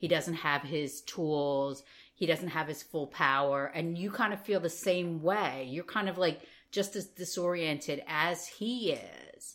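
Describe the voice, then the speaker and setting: In a very clean recording with a silent background, a woman with a normal speaking voice and a fairly low pitch speaks at a fairly slow pace with ordinary pitch variation. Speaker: podcast co-host. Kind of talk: casual chat.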